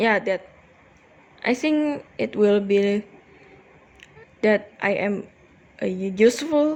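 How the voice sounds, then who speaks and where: A woman speaks with ordinary pitch variation and long, frequent pauses. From Indonesia, Jakarta. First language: Indonesian. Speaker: cross stitch vlogger. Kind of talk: casual chat. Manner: slow; halting.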